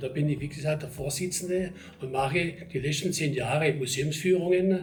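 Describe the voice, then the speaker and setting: With a Swabian accent, a man speaks in a fairly high voice and fairly even intonation, his loudness swinging widely amid noticeable background noise and audible room echo. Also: moderate pace. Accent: Swabian regional dialect. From Germany, Ostalbkreis area, Swabia. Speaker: local history society chairman, retired town official. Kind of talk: interview. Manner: conversational, with fillers.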